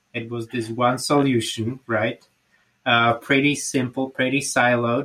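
Someone speaks with a Slovak accent at a fairly slow pace and monotone, flat intonation. The recording is very clean, with a silent background. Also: man. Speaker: podcast host. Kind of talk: interview.

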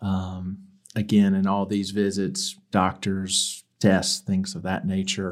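A man with an American accent, fairly low in pitch, at a very slow pace in a monotone, flat intonation. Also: very clean recording, silent background. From US South, Mobile, Alabama. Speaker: church member with illness. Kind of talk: testimony.

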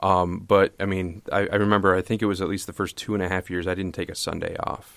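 Very deep, low male voice with an American accent and monotone, flat intonation, on a very clean recording with a silent background. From US Midwest (Toledo, Ohio). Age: 30s. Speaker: pastor. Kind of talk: casual chat. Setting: studio. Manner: halting, many repetitions.

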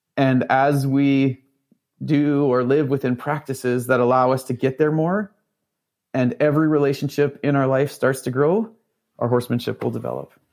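With a Canadian accent and an unremarkable speaking voice, a man speaks at a moderate pace and medium pitch with fairly even intonation over a quiet background. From Northern Ontario, Canada. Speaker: horse trainer. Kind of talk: interview conversation.

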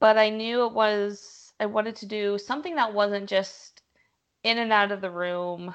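This woman has a plain, everyday voice, speaking at a moderate pace with fairly even intonation. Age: 30s. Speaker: physical therapist. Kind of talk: interview.

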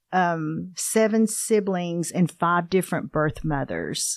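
With an ordinary speaking voice, a woman talks at a medium pitch and a fairly slow pace, with ordinary pitch variation, against a quiet background. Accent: American. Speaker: pastor's wife, adoptee. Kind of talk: personal testimony in casual interview.

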